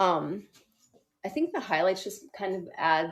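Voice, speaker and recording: Her intonation is fairly even. The woman's voice sits at a medium pitch. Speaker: live-stream product presenter. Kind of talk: live-stream product demo chat. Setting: live stream on Instagram. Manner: fast.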